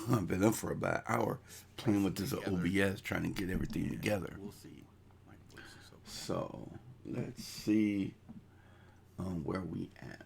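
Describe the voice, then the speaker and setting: Speaking at a fairly slow pace with long, frequent pauses, a man uses a very deep, low voice marked by vocal fry. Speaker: crypto YouTuber. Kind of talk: casual live stream chat. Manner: halting.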